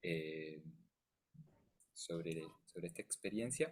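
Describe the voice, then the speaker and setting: A soft-spoken man with a very deep, low pitch keeps his intonation fairly even. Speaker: music therapist. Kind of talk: lecture. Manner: halting. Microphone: too quiet.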